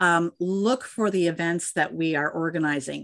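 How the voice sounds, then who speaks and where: In a plain, everyday voice, a woman with an American accent speaks at a moderate pace and a fairly low pitch, the sound dry and close with no echo against a quiet background. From Minnesota, US Midwest. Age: 60s. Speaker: dairy industry women's network leader. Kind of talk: interview.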